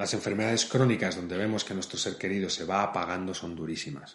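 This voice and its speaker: A man speaks in a normal speaking voice. His pitch is fairly low, with ordinary pitch variation. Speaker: podcast host for an elderly care company. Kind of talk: scripted narration.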